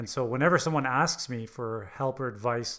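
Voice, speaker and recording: A man with an unremarkable speaking voice talks at a medium pitch and a fairly quick pace. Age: 40s. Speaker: entrepreneur and business coach. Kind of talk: casual interview.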